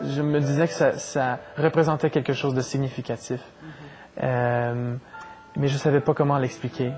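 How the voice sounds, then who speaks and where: Music plays behind a man speaking with a Saskatchewan accent at a fairly high pitch. His pace is fairly slow and his intonation fairly even. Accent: Fransaskois French. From Saskatchewan, Canada. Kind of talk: interview answer.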